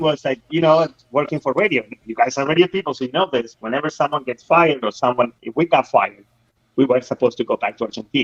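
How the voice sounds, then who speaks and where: Here a man talks at a very fast pace. His pitch is fairly high. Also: ordinary pitch variation. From Argentina. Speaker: radio professional, former soccer broadcaster. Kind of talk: casual talk, live call-in from Argentina.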